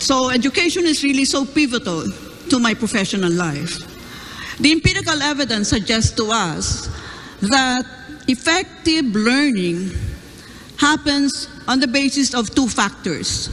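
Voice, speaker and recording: Speech moves at a fairly slow pace with long, frequent pauses over noticeable background noise. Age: 70s. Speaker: professor, debate panelist. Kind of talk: panel question.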